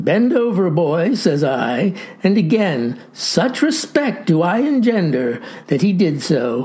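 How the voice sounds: This clip is a natural reading voice.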